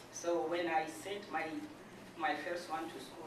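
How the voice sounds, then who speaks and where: This woman's voice sits very deep and low, carrying a non-native accent. Noticeable background noise and audible room echo surround her. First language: not English. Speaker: adult education client. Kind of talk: testimony. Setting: speaking to an audience of donors. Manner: halting, many fillers.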